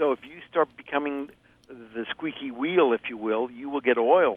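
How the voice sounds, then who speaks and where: A man talks in a plain, everyday voice. His pitch is fairly high with ordinary variation, and his pace is moderate. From US Midwest, Ohio. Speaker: produce market expert. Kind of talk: casual chat.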